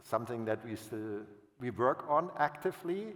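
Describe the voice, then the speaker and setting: Over noticeable background noise, a man speaks with a German accent. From Germany. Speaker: utility finance executive. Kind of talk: panel fireside chat. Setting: stage with audience. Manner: halting, with self-corrections.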